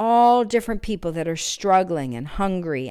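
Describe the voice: Plain reading aloud carries lively intonation throughout.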